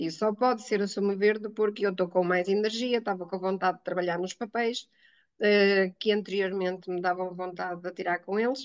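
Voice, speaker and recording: Fairly quick speech with fairly even intonation. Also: woman, medium pitch for a woman. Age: 60s. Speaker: teacher giving a testimonial. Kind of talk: testimony interview. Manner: hesitant, many fillers.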